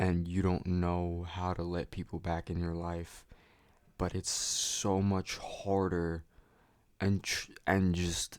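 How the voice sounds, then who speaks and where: Speaking at a very slow pace in a flat monotone, a man with a very deep, low pitch is heard on a very clean recording with a silent background. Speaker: vlogger. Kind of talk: casual monologue. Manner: slurred.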